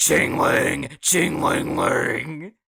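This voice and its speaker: A man's raspy, put-on character voice. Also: fairly high pitch for a man. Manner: demonic.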